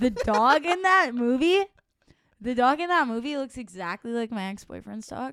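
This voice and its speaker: A woman's high voice with a Michigan accent, very wide pitch swings and big swings in loudness. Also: moderate pace. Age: 20s. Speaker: country songwriter. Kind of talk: casual chat.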